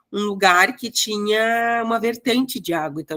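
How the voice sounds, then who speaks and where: A woman talks with a strong gaúcho accent and ordinary pitch variation. The recording sounds dry and close, with no echo. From Rio Grande do Sul, Brazil (Passo Fundo). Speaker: exam prep teacher. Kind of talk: online lecture. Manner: casual, hesitant.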